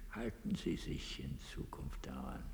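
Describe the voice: A man's put-on character voice, extremely low in pitch, with vocal fry, big pitch swings and a fairly slow pace.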